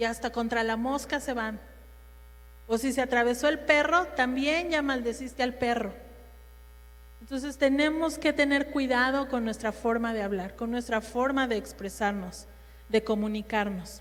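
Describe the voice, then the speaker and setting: Loud and high-pitched, a woman speaks at a fairly slow pace with ordinary pitch variation amid audible room echo. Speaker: women's ministry speaker. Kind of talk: sermon.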